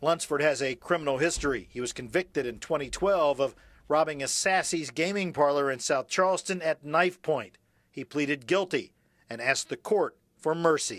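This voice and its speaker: A normal speaking voice from a man, fairly high in pitch, with ordinary pitch variation, a moderate pace and a very clean recording with a silent background. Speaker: TV news reporter. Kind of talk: TV news reporter package narration.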